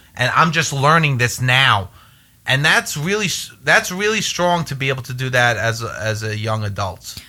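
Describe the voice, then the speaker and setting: Bright and sharp in tone, a man talks at a moderate pace with very wide pitch swings. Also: medium pitch for a man. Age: 20s. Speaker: podcast host. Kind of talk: casual chat.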